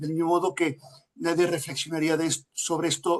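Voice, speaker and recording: The speaker is a man with a Galician accent. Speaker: lecturer, family institute director. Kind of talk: answering audience in Q&A. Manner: hesitant, many fillers.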